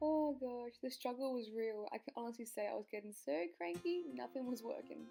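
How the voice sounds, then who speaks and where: Over background music, the speaker uses lively intonation and a moderate pace with an Australian accent. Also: woman, fairly high pitch for a woman. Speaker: beauty vlogger. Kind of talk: makeup tutorial voice-over.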